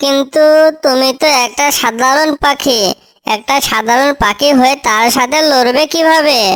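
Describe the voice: In a cartoonish character voice, a female-sounding speaker talks at a high pitch and a fairly slow pace.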